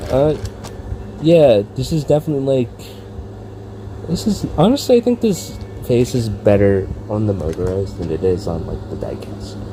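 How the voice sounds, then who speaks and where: A man with a fairly low voice speaks at a moderate pace with lively intonation and long, frequent pauses, over noticeable background noise. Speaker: toy reviewer. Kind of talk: casual review vlog. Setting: indoors, filming in a room. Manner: rambling with fillers.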